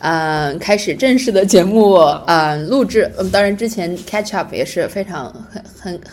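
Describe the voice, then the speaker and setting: A woman speaks at medium pitch. There is noticeable background noise. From China. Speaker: podcast co-host. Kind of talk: casual chat. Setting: public library.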